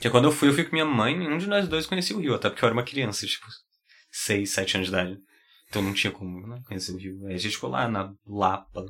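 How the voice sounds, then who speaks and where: A man talks at a very fast pace in a fairly low pitch, his voice making very wide pitch swings. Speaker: podcast co-host. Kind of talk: casual chat.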